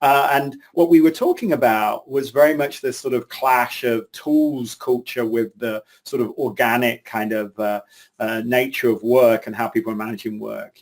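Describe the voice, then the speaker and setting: A medium-pitched man with an English accent at a moderate pace. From England. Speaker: CEO of an agile training organization, webinar co-presenter. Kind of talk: webinar talk. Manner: casual, hesitant with fillers.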